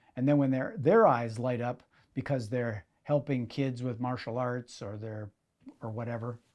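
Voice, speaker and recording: This man has an Upper Midwest accent, speaking at a moderate pace with fairly even intonation. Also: medium pitch for a man. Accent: Upper Midwest (Minnesota). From Minnesota, Minneapolis area. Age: 60s. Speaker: magician and event entrepreneur. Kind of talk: interview. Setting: in-person sit-down interview.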